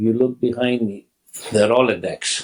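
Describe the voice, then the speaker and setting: This man speaks with a Greek accent. His pitch is medium and his pace fairly slow. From Greece. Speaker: restaurant founder. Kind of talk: interview.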